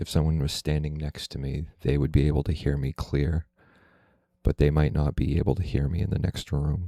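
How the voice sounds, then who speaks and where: Soft-spoken and with a very deep, low pitch, a man talks in a dark, mellow tone with fairly even intonation, the sound dry and close with no echo. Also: fairly quick pace. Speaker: YouTuber. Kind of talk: casual vlog monologue. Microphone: close to the mic.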